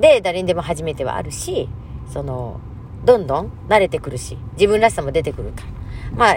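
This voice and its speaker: The loudness swings widely. Noticeable background noise runs underneath. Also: woman. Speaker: mental health counselor and MC. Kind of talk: casual monologue.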